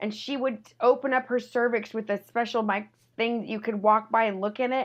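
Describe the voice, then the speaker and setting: A woman's high-pitched voice at a moderate pace. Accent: American. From Texas. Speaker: comedian. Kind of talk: casual chat.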